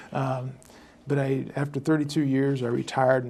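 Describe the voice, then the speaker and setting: The speaker has a Midwestern American accent. The pace is fairly quick. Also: man. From US Midwest, southern Indiana. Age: 60s. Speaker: local election candidate. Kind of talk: interview. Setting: studio. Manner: hesitant, many fillers.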